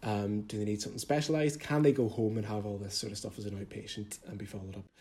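With a Derry accent, a man speaks very fast in a somewhat breathy, fairly low voice that has a dark, mellow tone and ordinary pitch variation. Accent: Northern Irish (Derry). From Northern Ireland, Derry. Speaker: junior doctor. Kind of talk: casual interview.

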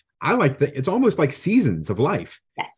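The man's somewhat breathy voice is heard over a quiet background. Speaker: podcast host. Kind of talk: casual interview.

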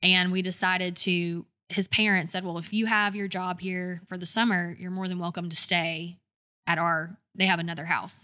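With a Southern US accent, the voice has a bright, sharp tone and monotone, flat intonation at a moderate pace, on a very clean recording with a silent background. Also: woman, medium pitch for a woman. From Georgia, US South (Douglasville, near Atlanta). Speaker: brand design agency owner. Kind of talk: interview conversation.

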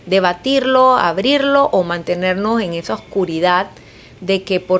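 A woman's medium-pitched voice with very wide pitch swings, at a fairly slow pace, over noticeable background noise. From Panama, Chiriquí province. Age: 40s. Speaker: politician. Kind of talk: interview.

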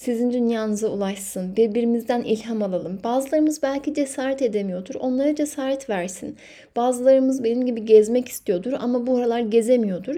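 A woman's high-pitched voice has a dark, mellow tone, ordinary pitch variation and a fairly quick pace. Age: 30s. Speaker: podcast host. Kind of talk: solo podcast monologue.

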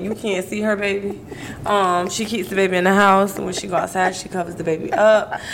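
Noticeable background noise accompanies a woman who talks at a fairly quick pace with fairly even intonation. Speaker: podcast co-host. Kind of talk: casual chat. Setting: livestream.

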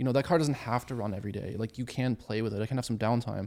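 Man at medium pitch, dark and mellow, with fairly even intonation at a very fast pace. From Germany. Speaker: amateur track driver. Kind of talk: casual chat.

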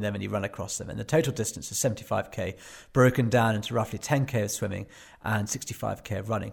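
A man with a fairly low pitch and ordinary pitch variation talks at a moderate pace. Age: 40s. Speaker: adventure journalist and endurance athlete. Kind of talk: casual interview. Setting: remote call from home. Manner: halting.

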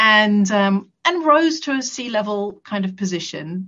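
Somewhat breathy, a woman with an English accent speaks at a medium pitch and a fairly slow pace. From England. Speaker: camp founder. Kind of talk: interview.

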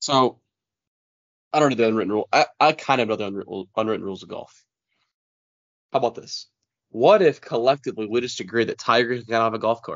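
Speaking at a very fast pace, a man uses a medium pitch with ordinary pitch variation. His speech has long, frequent pauses. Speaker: podcast co-host. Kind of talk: casual sports podcast chat.

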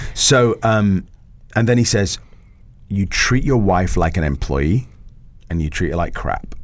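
Pausing long and often, a man with a fairly low voice talks at a fairly slow pace with lively intonation. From England, Italian background. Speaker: school founder and former actor. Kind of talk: casual interview chat.

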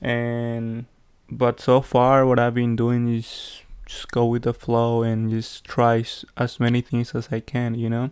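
At a fairly slow pace, a man speaks in a monotone, flat intonation with a Spanish accent. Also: medium pitch for a man, quiet background. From Peru. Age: 20s. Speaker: podcaster. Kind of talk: casual solo monologue. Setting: home recording with background noise. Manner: halting, many fillers.

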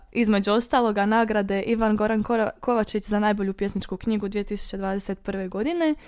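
Fairly high-pitched, a woman talks at a moderate pace with fairly even intonation. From western Herzegovina, Bosnia and Herzegovina. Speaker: student discussing dialects. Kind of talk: casual academic discussion.

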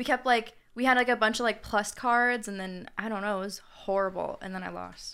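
The tone is bright and sharp, the intonation fairly even, the loudness swinging widely, with hardly any pauses throughout. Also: woman, fairly high pitch for a woman, fairly quick pace, very clean recording, silent background. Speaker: student podcast co-host. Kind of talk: casual chat.

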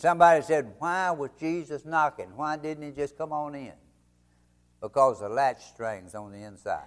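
On a very clean recording with a silent background, a man with a fairly high pitch speaks at a moderate pace, with lively intonation and big swings in loudness. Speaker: preacher. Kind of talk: sermon. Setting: church. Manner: earnest, exhortative pastoral appeal; conversational, halting with frequent 'uh' fillers.

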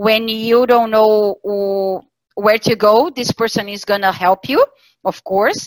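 A woman with a Portuguese accent speaks fairly slowly at a fairly high pitch. The sound is dry and close, with no echo. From southern Brazil, Santa Catarina. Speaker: talent sourcing specialist. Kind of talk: interview. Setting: video call. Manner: hesitant with fillers.

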